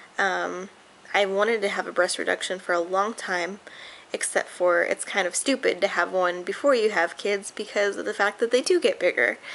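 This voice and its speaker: A woman's voice with vocal fry, moderate pace and ordinary pitch variation. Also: medium pitch for a woman. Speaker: vlogger, medical professional. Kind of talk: casual personal vlog rant. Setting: at home, screen door open. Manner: loud; hesitant, many fillers.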